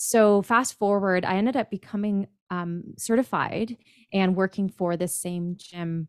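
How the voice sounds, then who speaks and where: Over a very clean, silent background with dry, close sound and no echo, a woman with a Canadian accent uses a normal speaking voice at medium pitch, a fairly slow pace and fairly even intonation. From Ontario, Canada. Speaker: personal trainer and body image coach. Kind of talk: interview.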